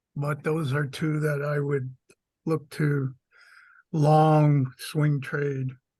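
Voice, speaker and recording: With an American accent, the speaker talks at a very slow pace with long, frequent pauses. The voice has a dark, mellow tone, somewhat breathy and flat in intonation. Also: man, fairly high pitch for a man. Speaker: call participant, crypto trader. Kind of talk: casual group chat about trading. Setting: video call.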